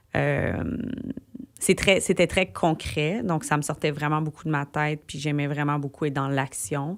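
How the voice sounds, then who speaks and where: With vocal fry and a very deep, low pitch, a woman speaks fairly slowly with ordinary pitch variation. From Quebec, Gatineau (Outaouais). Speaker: singer-songwriter. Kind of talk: radio interview. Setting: radio studio. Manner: animated, casual with many fillers.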